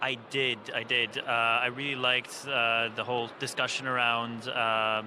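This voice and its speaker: The man's voice sits at a medium pitch, with audible room echo and noticeable background noise around it. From Italy. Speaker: software engineer, conference attendee. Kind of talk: casual interview. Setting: conference floor.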